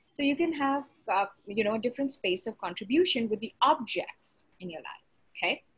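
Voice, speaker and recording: Someone talks with a plain, everyday voice at a fairly quick pace. The intonation is lively, with big swings in loudness. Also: woman, fairly high pitch for a woman. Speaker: facilitator. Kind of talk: facilitated group session.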